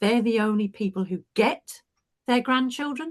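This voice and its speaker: Over a quiet background, a woman with a British accent talks at a moderate pace in a somewhat breathy voice. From UK. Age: 70s. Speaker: retired teacher and coach. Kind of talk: panel discussion.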